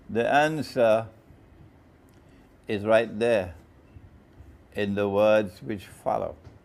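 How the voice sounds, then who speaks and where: A man with a fairly low voice speaks at a very slow pace, with long, frequent pauses, ordinary pitch variation and audible room echo. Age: middle-aged. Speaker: Islamic scholar. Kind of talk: sermon. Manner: loud; animated.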